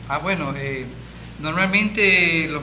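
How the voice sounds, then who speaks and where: Noticeable background noise and audible room echo around a man speaking fairly slowly. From Ecuador. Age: 60s. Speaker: Freemason, former military. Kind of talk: interview. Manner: halting.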